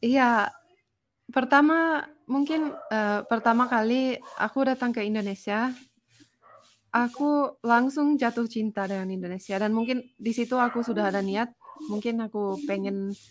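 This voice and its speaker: Pausing long and often, a woman talks with ordinary pitch variation. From Finland. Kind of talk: casual chat.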